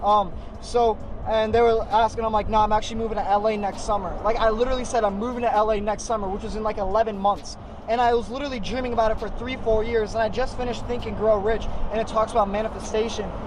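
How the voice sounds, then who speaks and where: Talking at a very fast pace with an American accent, a man with a high voice speaks in a monotone, flat intonation, with audible room echo and noticeable background noise. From US West Coast, San Diego. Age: 20s. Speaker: online business youtuber. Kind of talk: casual Q&A vlog. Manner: casual, filler-heavy.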